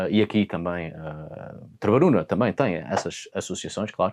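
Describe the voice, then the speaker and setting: A man with a European Portuguese accent, fairly low in pitch and fairly slow in pace, on a very clean recording with a silent background. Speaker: mythology and folklore educator. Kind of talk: educational talk on mythology. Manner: hesitant, with fillers.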